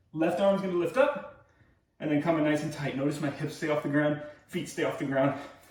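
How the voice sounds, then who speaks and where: With noticeable background noise and audible room echo, a man in an American accent speaks at a moderate pace. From US Northeast, New York area. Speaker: fitness coach. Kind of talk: workout class instruction.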